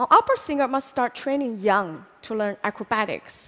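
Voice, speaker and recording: The woman's voice is high-pitched. She talks at a fairly quick pace. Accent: Chinese. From China, Hunan. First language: Chinese. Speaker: public speaker. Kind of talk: talk to an audience.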